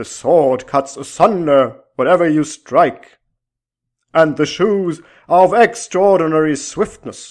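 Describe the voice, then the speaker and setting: This man puts on a character voice, pitched fairly high and delivered at a fairly slow pace. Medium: read story. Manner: archaic, formal speech.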